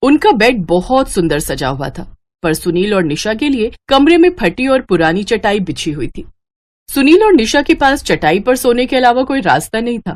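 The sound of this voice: A woman speaks at a moderate pace, her fairly high pitch making big swings.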